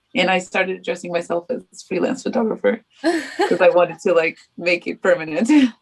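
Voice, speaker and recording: With a Portuguese accent, a woman of medium pitch speaks at a moderate pace. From Portugal. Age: 20s. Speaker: freelance photographer. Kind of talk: podcast interview answer.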